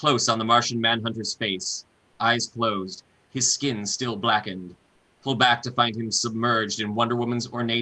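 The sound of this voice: An unforced reading voice is heard in the clip.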